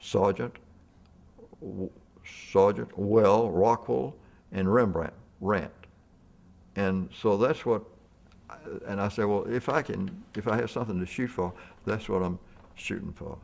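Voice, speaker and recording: In a Mississippi accent, a man speaks at a fairly low pitch and a fairly slow pace, with long, frequent pauses. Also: ordinary pitch variation. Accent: Southern US (Mississippi). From US South (Mississippi). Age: 80s+. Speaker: portrait painter. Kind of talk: casual chat. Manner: halting.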